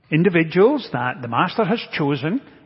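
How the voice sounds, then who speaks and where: A man talks at a fairly slow pace with very wide pitch swings over noticeable background noise. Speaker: preacher. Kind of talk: sermon. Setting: church.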